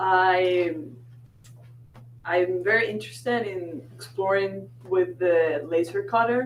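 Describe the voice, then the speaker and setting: Speaking very slowly with long, frequent pauses, a woman with a Spanish accent uses a fairly low pitch that swings very widely. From Venezuela. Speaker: architect, new makerspace member. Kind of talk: group introduction at a meeting.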